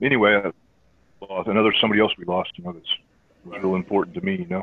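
A man with an American accent speaks very fast at a fairly low pitch, with ordinary pitch variation. His loudness swings widely, and he leaves long, frequent pauses. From US South, Georgia (Air Force bases). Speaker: jazz pianist and teacher. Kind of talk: casual interview.

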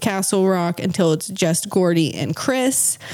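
With an American accent, a woman talks at a medium pitch and a fairly slow pace in an unremarkable speaking voice. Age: 30s. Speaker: podcast co-host. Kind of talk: casual chat with scripted research segments.

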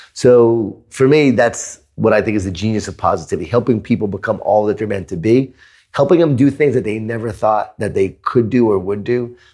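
Against a very clean, silent background, a man with a normal speaking voice and an American accent talks at medium pitch with ordinary pitch variation and hardly any pauses. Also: fairly quick pace. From New York (Queens). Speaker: author and keynote speaker. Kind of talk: interview conversation.

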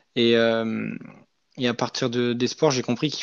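A man speaks at a medium pitch and a moderate pace. The sound is dry and close with no echo, over a quiet background. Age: 20s. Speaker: former elite cyclist and coaching trainee. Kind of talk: casual interview. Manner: hesitant, many fillers.

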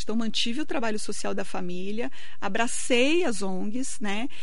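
Noticeable background noise under a woman's moderately paced voice, her pitch swinging very widely. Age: 40s. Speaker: lawyer and municipal secretary. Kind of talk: radio interview. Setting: radio studio.

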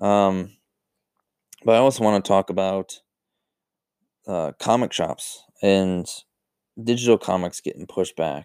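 A man with a Western New York accent speaks fairly slowly at a fairly low pitch, with ordinary pitch variation and long, frequent pauses. The recording is very clean and dry, close with no echo and a silent background. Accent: Western New York American. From US, Buffalo, New York. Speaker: podcast host. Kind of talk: casual solo talk. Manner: many fillers, halting.

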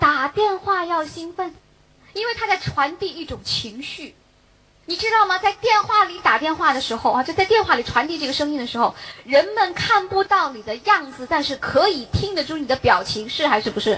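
Her voice extremely high-pitched, a woman projects at a moderate pace in an animated tone. Her pitch swings very widely and her loudness rises and falls sharply over noticeable background noise. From Beijing. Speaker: direct sales distributor. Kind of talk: motivational talk.

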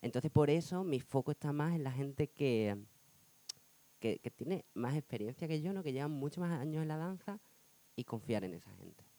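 A man's dark, mellow tone at a fairly high pitch, with lively intonation at a moderate pace, in a dry, close sound with no echo. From Spain, Badajoz (Extremadura). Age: 30s. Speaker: dancer. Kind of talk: casual interview chat.

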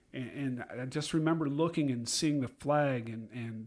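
A man has a plain, everyday voice with an American accent, medium pitch and ordinary pitch variation. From Iowa. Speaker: retired teacher. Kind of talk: casual chat.

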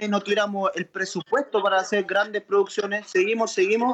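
Heard in a dry, close sound with no echo, a man with a Chilean accent speaks at a moderate pace and a high pitch. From Chile (Santiago). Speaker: trap musician. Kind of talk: interview.

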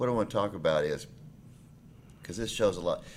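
A man is speaking. He has a Tennessee accent. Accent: Southern US (Tennessee). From Nashville, Tennessee. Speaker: podcast host, real estate lawyer. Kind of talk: casual interview.

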